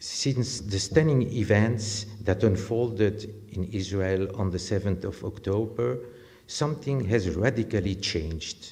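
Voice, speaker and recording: With a French accent, a man speaks at a fairly slow pace in a fairly low, somewhat breathy voice of dark, mellow tone and ordinary pitch variation, with audible room echo around him. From France. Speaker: sociologist, lecturer. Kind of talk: lecture. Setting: lecture theatre with audience.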